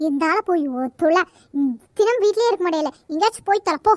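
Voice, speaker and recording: This is a squeaky, cartoonish character voice. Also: female-sounding voice, extremely high pitch for a woman, moderate pace. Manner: scolding, insulting.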